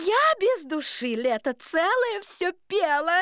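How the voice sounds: Using a put-on character voice, a woman speaks at a slow pace with an extremely high pitch, big pitch swings and a fairly bright tone. The recording is very clean, with a silent background.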